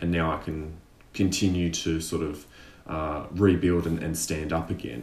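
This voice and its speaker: A man's very deep, low voice with an Australian accent and audible room echo. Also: fairly even intonation, moderate pace. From Tasmania, Australia. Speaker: actor and sketch artist. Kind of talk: casual interview.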